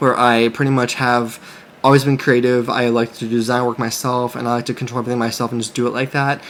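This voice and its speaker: The man talks at a very fast pace in a monotone, flat intonation. Noticeable background noise is present. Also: medium pitch for a man. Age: 30s. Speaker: clothing brand owner and YouTuber. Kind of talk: casual vlog monologue. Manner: halting, many fillers and restarts.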